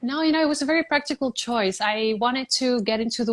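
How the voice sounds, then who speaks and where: With a Spanish accent, a woman talks at a fairly quick pace. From Puerto Rico. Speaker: beauty pageant contestant. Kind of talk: interview.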